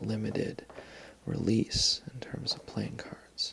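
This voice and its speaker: A man whispering in a relaxed tone at a fairly slow pace, with noticeable background noise. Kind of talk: softly spoken ASMR talk about a playing card collection. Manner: soft-spoken, relaxed.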